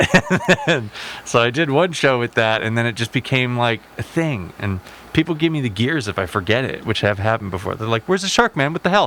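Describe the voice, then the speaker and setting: A man with a medium-pitched voice talks at a fairly quick pace, his pitch swinging very widely. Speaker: electronic music performer. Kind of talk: casual chat.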